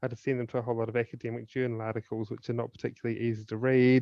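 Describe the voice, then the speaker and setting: A man with a New Zealand accent talks at a very fast pace. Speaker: suicide prevention speaker and author. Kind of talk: podcast interview.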